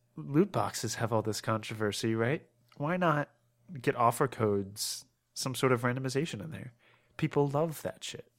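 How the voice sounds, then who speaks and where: A man's unremarkable speaking voice with an American accent, medium pitch and ordinary pitch variation, at a moderate pace on a very clean recording with a silent background. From Maryland, US. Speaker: gaming podcast co-host. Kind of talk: casual chat.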